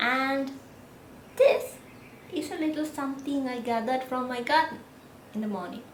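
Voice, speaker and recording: A woman speaks in a high pitch with a Sri Lankan accent. She leaves long, frequent pauses, and audible room echo surrounds her voice. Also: ordinary pitch variation, moderate pace. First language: Sinhala. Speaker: 3D designer and vlogger. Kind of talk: casual vlog talk.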